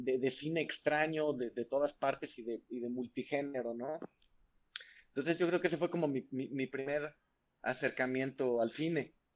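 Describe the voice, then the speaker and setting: In a normal speaking voice, a man with a fairly high pitch talks at a moderate pace with fairly even intonation. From Mexico, San Luis Potosí. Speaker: film director. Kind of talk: casual interview.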